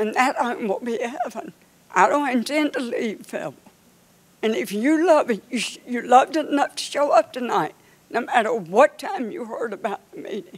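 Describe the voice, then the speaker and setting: In a North Carolina accent, a woman talks at a moderate pace in a high pitch with very wide pitch swings, against noticeable background noise. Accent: Southern US (North Carolina). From US South (North Carolina, Dunn). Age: 80s+. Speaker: community member speaking at public meeting. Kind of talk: public comment. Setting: public meeting in an arena. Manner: impassioned.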